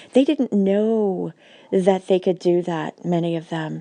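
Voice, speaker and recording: At a moderate pace, a woman speaks at a medium pitch with a dark, mellow tone and ordinary pitch variation, the sound dry and close with no echo over a quiet background. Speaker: spiritual teacher and healer. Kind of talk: casual inspirational vlog monologue. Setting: at home on the couch. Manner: softer, lowered voice.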